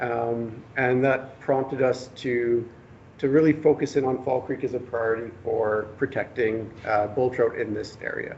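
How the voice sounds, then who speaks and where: In a Canadian accent, a man speaks at a fairly slow pace. His voice is somewhat breathy, with monotone, flat intonation. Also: medium pitch for a man. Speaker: government fisheries biologist. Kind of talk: presentation. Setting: public workshop with audience. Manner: soft-spoken; hesitant, many fillers.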